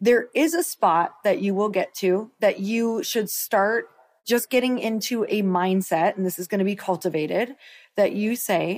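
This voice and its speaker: Speaking in a plain, everyday voice, a woman keeps a medium pitch and a moderate speed. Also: very clean recording, silent background. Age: 40s. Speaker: podcast co-host and entrepreneur. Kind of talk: casual chat. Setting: on a road trip stop at home.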